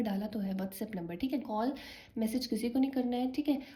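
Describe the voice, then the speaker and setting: Soft-spoken and fairly high-pitched, a woman talks over noticeable background noise. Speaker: tarot card reader. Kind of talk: tarot reading for viewers. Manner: soft-spoken, low volume.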